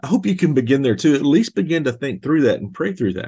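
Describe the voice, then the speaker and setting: A man in a Southern US accent speaks with very wide pitch swings. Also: quiet background. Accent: Southern US (Georgia). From US South, rural Georgia. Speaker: pastor. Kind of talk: podcast teaching monologue. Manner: casual, conversational with fillers.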